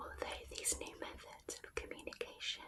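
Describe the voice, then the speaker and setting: Someone is whispering at a fairly slow pace amid noticeable background noise. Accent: British. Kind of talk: ASMR non-fiction reading. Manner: whispered; soft, slow, relaxing.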